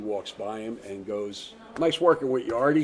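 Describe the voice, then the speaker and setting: Talking at a fairly quick pace, a man with a New Jersey accent shows ordinary pitch variation. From New Jersey, US (Hawthorne). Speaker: actor. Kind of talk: casual interview.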